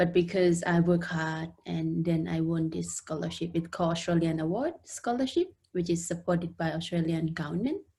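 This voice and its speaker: A woman with a fairly low, somewhat breathy voice speaks at a moderate pace with fairly even intonation. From Laos. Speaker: international student and community support worker. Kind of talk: interview. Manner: halting.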